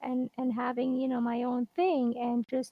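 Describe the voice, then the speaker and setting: A soft-spoken woman with a high pitch at a moderate pace. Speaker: guest on a live show. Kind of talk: casual interview chat.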